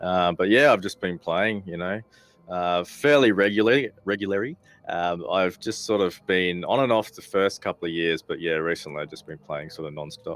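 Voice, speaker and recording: With an Australian accent, a man talks at a moderate pace in a very deep, low voice, with ordinary pitch variation and big swings in loudness. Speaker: gamer, council candidate, former soldier. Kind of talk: interview.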